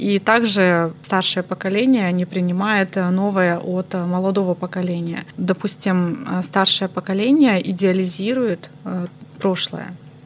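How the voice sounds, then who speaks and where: A woman at medium pitch, very slow in pace, her intonation fairly even. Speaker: psychologist. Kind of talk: interview.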